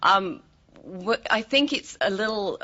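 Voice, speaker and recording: A woman talks with a British accent. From Britain. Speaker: law professor. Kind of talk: audience comment at panel discussion.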